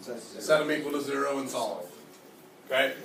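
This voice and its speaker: This man's voice, fairly high and ordinary in its pitch movement, comes with audible room echo and noticeable background noise. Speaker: math teacher. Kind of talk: classroom lecture.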